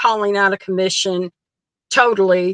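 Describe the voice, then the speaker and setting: Dry and close with no echo, a woman's voice comes through in a bright, sharp tone. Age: 60s. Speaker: wrestling fan. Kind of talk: casual chat.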